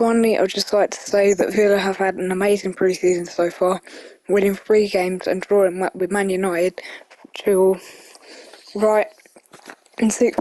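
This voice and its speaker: In a British accent, a woman talks at a moderate pace and medium pitch. Her intonation is monotone and flat. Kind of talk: casual football prediction talk. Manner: casual, conversational.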